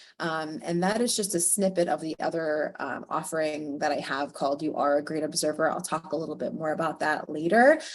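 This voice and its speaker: A woman talks at a moderate pace. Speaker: early childhood educator and workshop presenter. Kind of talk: guided visualization; webinar presentation. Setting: video call webinar.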